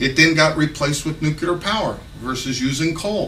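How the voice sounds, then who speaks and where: A fairly high-pitched man with an American accent at a moderate pace, amid noticeable background noise and audible room echo. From Texas. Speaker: political candidate. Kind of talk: campaign speech. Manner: casual, unscripted with hesitations.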